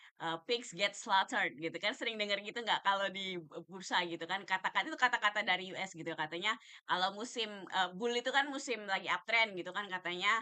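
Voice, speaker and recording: A woman speaks at a fairly quick pace with a medium pitch, ordinary pitch variation, and a bright, sharp tone. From Jakarta and Yogyakarta, Indonesia. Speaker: stock trading educator. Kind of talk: live stream talk on stock market. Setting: TikTok live stream. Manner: hesitant, many fillers. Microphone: quiet audio, laptop, weak signal.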